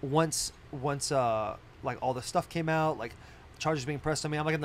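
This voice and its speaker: A man with an ordinary speaking voice, fairly even intonation and a moderate pace, over light background noise. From Arizona. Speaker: podcast co-host, pro football player; podcast host. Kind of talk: casual chat. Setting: studio on a bus. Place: bus. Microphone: studio mic.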